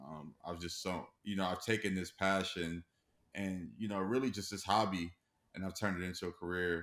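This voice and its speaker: Recorded very cleanly against a silent background, a man with a very deep, low pitch speaks at a moderate pace with fairly even intonation. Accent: American. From Los Angeles, California. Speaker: music industry professional. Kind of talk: casual interview.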